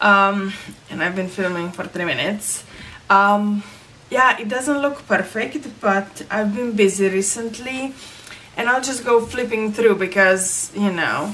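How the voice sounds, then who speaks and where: A woman with a non-native accent, medium pitch, ordinary pitch variation and a fairly slow pace, over noticeable background noise. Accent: own non-native accent, disliked. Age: 30s. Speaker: crafting vlogger. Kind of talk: casual vlog talk. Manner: hesitant, many fillers.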